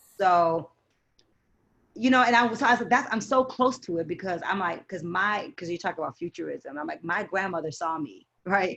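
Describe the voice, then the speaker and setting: A woman at medium pitch with lively intonation and a moderate pace. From Detroit, US Midwest. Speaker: poet. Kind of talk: interview. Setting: podcast. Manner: animated.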